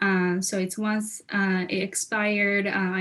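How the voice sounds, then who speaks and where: Her intonation monotone and flat, a woman speaks with a Japanese accent. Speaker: legal policy specialist, alumna panelist. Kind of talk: career panel talk. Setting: video call from Japan. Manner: halting, many fillers.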